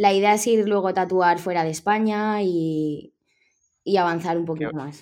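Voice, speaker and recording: A woman's unremarkable speaking voice, medium in pitch, at a moderate pace with fairly even intonation against a quiet background. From Spain, Villarreal (Valencian Community). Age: 20s. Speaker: tattoo artist. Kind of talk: interview.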